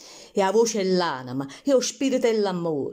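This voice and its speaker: Her pitch swings very widely as the woman speaks. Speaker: poetry reciter. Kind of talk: poetry reading.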